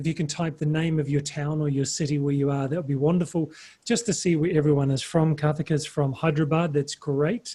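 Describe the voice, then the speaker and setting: Somewhat breathy, the voice has a dark, mellow tone and a New Zealand accent. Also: man, fairly high pitch for a man, fairly even intonation, fairly quick pace, hardly any pauses. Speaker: webinar presenter. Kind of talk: webinar presentation. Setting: video call webinar.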